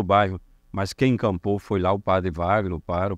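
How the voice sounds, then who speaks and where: A man speaks at a fairly quick pace with a very deep, low pitch and fairly even intonation, his voice dry with no echo against a quiet background. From northern Minas Gerais, Brazil (rural Montes Claros); Minas Gerais, Brazil. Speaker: city councillor. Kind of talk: interview. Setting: studio. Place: studio. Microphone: handheld.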